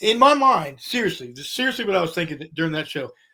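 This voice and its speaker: This man speaks in a high, bright, sharp voice with an American accent, raised and projected. His tone is animated, with very wide pitch swings at a very fast pace. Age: 60s. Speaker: rock musician. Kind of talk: casual interview chat. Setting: podcast interview.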